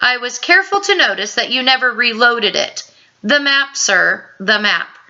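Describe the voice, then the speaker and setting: Doing a put-on character voice, a woman speaks at a high pitch and a moderate pace with very wide pitch swings. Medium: read story. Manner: formal, polite.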